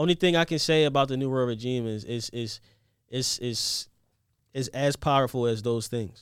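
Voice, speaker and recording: A man speaks at a moderate pace with an American accent in a normal speaking voice. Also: medium pitch for a man, ordinary pitch variation, very clean recording, silent background. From Philadelphia, Upper Darby. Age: young. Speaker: fashion designer. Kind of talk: casual interview. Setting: studio.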